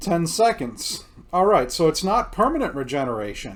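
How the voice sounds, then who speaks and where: The man talks loudly at a moderate pace, his pitch high. His pitch swings very widely. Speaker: video game streamer. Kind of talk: gameplay commentary. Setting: home recording with headphones.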